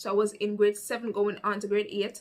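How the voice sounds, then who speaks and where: The tone is bright and sharp, in a Jamaican accent. The pace is moderate. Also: woman. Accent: Jamaican Patois. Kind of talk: casual storytime talk to camera.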